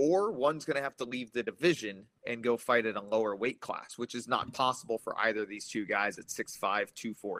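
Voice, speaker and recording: A man with a plain, everyday voice and medium pitch talks with hardly any pauses and ordinary pitch variation, in a dry, close sound with no echo. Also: moderate pace. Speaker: MMA analyst guest. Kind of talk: casual chat.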